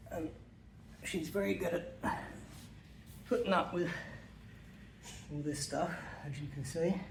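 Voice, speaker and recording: Relaxed in tone, a man speaks fairly high with vocal fry and ordinary pitch variation. His pace is fairly slow, with long, frequent pauses. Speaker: dog owner. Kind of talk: casual how-to demonstration. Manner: hesitant, relaxed, with many fillers.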